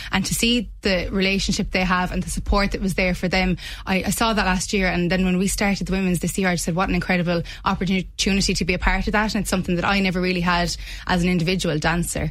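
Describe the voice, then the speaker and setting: A woman's somewhat breathy, medium-pitched voice in a Limerick accent, very fast, with very even loudness, monotone, flat intonation and audible room echo. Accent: Irish (Limerick). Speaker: rugby club PR officer and player. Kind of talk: radio interview.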